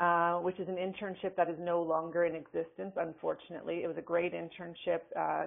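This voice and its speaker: At a moderate pace, a woman speaks with a slight Canadian accent. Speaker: forensic psychologist and professor. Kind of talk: webinar lecture. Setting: webinar. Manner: casual, with many fillers.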